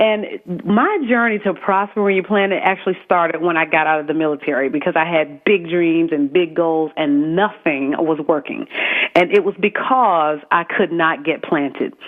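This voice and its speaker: Over noticeable background noise, a woman with a Southern accent speaks at a moderate pace and fairly low pitch, with ordinary pitch variation, very even loudness, and hardly any pauses. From US South, South Carolina. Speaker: military spouse, author and network founder. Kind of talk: radio interview. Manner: halting, many fillers.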